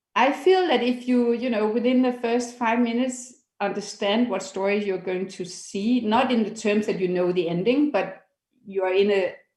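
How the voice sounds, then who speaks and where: A woman's fairly high pitch, ordinary in its variation. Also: moderate pace. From Denmark. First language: Danish. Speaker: documentary foundation founder. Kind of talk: interview. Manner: halting.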